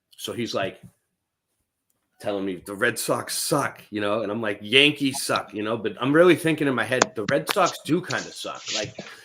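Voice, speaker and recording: With a Boston accent, a man speaks using lively intonation. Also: medium pitch for a man, moderate pace. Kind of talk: casual chat.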